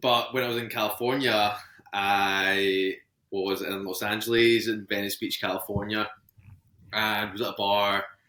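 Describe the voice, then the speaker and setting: Flat, monotone intonation at a fairly slow pace, in a Scottish accent. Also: man, fairly low pitch for a man. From Scotland, Ayrshire. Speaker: podcast guest, engaged partner. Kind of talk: casual interview chat.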